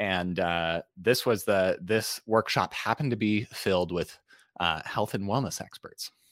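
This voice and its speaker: With an American accent, a man speaks at a fairly slow pace and a fairly low pitch, with ordinary pitch variation. The recording is very clean with a silent background, and the sound is dry and close with no echo. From Utah, US. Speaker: storytelling and presentation coach. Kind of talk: podcast interview. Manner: halting, many fillers.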